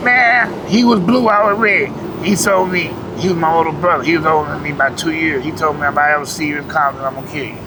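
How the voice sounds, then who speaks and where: A man with an American accent, a fairly high pitch, and lively intonation at a very fast pace, with noticeable background noise and audible room echo. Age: 60s. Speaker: homeless former gang member. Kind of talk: street interview. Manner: casual, conversational.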